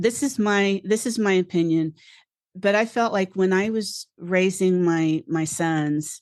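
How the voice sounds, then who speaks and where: A woman's medium-pitched voice, with ordinary pitch variation and very even loudness, over a quiet background. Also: fairly slow pace, dry, close sound with no echo. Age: 60s. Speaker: resilience coach. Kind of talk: interview. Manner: halting.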